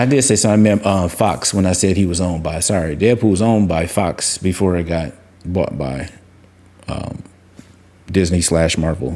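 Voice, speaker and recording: A man mumbling at a moderate pace, his pitch very deep and low, with noticeable background noise. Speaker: crypto and collectibles YouTuber. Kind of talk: casual commentary. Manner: rambling, halting.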